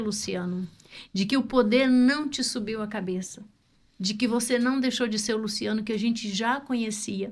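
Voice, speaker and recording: Fairly high, somewhat breathy female voice with pitch that varies in an ordinary way. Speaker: podcast host. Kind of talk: podcast interview questions.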